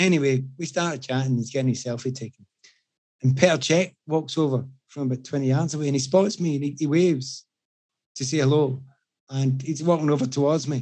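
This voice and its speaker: Speaking at a fairly quick pace with a strong Scottish accent, a man uses a fairly high pitch and a dark, mellow tone. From Scotland. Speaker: podcast guest telling anecdotes. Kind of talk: casual chat. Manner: animated storytelling.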